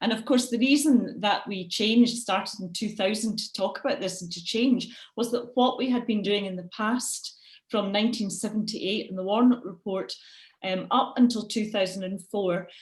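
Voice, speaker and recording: In a Scottish accent, a woman speaks at a moderate pace with a fairly high, somewhat breathy voice and fairly even intonation. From Scotland. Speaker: education lecturer. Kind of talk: webinar presentation.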